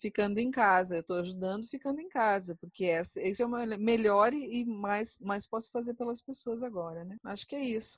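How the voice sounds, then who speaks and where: A somewhat breathy voice at a moderate pace, with hardly any pauses and ordinary pitch variation. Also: woman, fairly high pitch for a woman. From Brazil. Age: 40s. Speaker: chemical engineer. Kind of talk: interview testimony.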